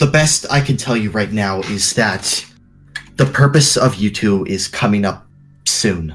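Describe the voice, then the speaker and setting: A man puts on a character voice at a fairly low pitch. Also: moderate pace. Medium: actual play.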